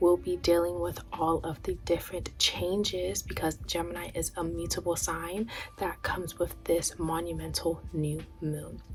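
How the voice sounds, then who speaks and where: A soft-spoken woman at a fairly slow pace, hardly any pauses, music playing in the background. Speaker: astrology and tarot content creator. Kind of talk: spiritual astrology talk to camera. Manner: soft-spoken, quiet.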